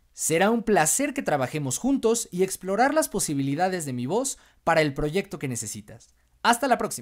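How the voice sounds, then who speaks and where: Over a quiet background, a high-voiced man talks at a moderate pace with very wide pitch swings. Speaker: voice actor. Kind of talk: demo reel host outro. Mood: friendly, warm. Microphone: studio mic.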